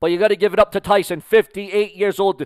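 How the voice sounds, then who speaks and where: A man talks at a fairly quick pace in a high voice for a man. The background is quiet, and the sound is dry with no echo. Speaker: boxing commentator. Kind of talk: live boxing commentary. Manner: excitable, hyped-up play-by-play; rapid, promotional patter. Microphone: headset.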